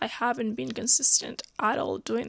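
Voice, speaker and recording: The speaker is a woman with a non-native accent. Her voice sounds dry and close, without echo. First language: not English. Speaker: book vlogger. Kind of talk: casual vlog talk to camera. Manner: conversational, filler-heavy.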